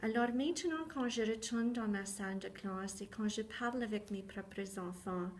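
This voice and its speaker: Hardly pausing, a woman talks at a moderate pace and fairly high pitch with ordinary pitch variation, over noticeable background noise. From southwestern Ontario, Canada. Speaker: teacher. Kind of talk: personal testimony talk.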